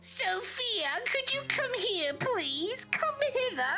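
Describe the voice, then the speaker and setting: Over loud background noise, a man uses a put-on character voice at an extremely high pitch and a very slow pace. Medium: game stream. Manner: gushing, sugary.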